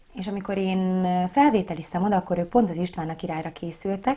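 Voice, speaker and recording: Her voice somewhat breathy and dark and mellow in tone, a woman speaks at medium pitch. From Hungary, Szigetszentmiklós near Budapest; Hungary. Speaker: operetta singer and actress; actress. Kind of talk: interview. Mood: relaxed, friendly. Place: studio.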